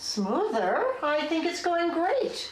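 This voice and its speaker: A woman speaks in a squeaky, put-on character voice at an extremely high pitch with very wide pitch swings. A slight echo sits on the recording. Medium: short film. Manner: chatty, defensive.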